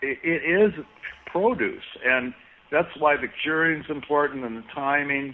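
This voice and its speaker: Using an ordinary speaking voice, a man talks at a fairly slow pace. His pitch is fairly high, with ordinary pitch variation. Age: 60s. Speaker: cannabis seed breeder. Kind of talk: casual interview.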